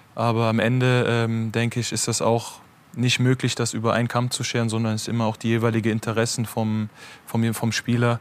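At a fairly quick pace, a man speaks in a monotone, flat intonation. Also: medium pitch for a man. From Germany. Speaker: football goalkeeper. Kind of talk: talk show interview.

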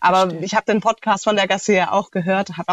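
Very fast speech from a woman at medium pitch, with a dry, close sound and no echo. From Germany, Heilbronn (Baden-Württemberg). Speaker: interview guest. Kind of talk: casual interview.

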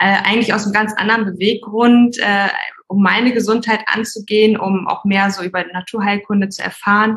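A woman speaks fairly quickly at a fairly high pitch, in a monotone, flat way. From Hamburg, northern Germany. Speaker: migraine therapist. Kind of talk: interview.

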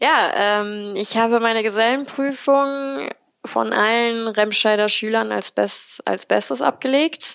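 Very slow speech from a woman with a fairly high pitch, the sound dry and close with no echo. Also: ordinary pitch variation. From Remscheid, western Germany. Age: 20s. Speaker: painter and decorator. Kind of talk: interview.

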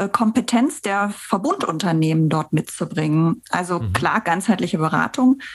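Her intonation is lively. The woman sounds somewhat breathy. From Bergisches Land, Germany (Bensberg near Cologne). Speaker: head of bank marketing. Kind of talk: interview. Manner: hesitant, frequent filler sounds.

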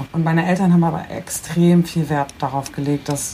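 A woman speaks at a fairly quick pace in a fairly low voice, with noticeable background noise. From Bremen, northern Germany. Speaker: internet personality. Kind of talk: casual chat.

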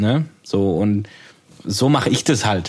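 A man speaks with a slight Swabian accent. His pitch sits fairly low. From Swabia, southwest Germany. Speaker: podcast co-host, audio producer. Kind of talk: casual chat.

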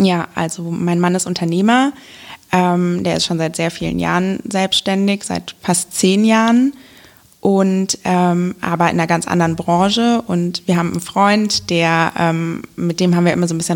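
At a moderate pace, a woman speaks at a fairly low pitch in an ordinary speaking voice. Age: young. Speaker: local election candidate. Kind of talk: casual interview.

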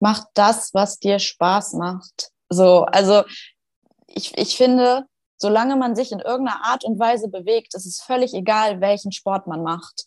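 In a dry, close recording with no echo, a woman with an unremarkable speaking voice talks fairly slowly at a medium pitch, with ordinary pitch variation and big swings in loudness. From Schleswig-Holstein, northern Germany. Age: 20s. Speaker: fitness trainer and hypnosis coach. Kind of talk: casual interview chat.

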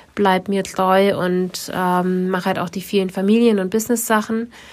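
Flat, monotone intonation from a woman, medium in pitch, at a moderate pace. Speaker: podcast co-host and photographer. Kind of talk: casual chat.

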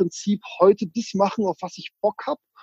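A man speaks with a high pitch and a dark, mellow tone, using ordinary pitch variation. The sound is dry and close, with no echo. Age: 40s. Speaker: real estate investor and author. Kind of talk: interview. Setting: video call. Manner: animated.

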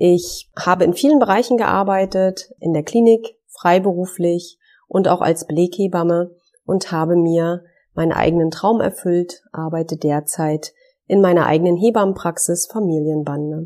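A woman's fairly low voice, dark and mellow in tone, at a moderate pace with ordinary pitch variation. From northern Germany, Wismar on the Baltic coast. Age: 40s. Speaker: midwife, podcast co-host. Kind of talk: podcast introduction, casual.

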